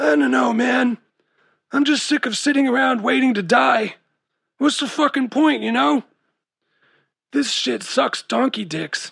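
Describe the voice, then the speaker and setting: A man does a raspy, put-on character voice at an extremely high pitch, with very wide pitch swings, a moderate pace and long, frequent pauses. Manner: slacker slang, jaded and bitter.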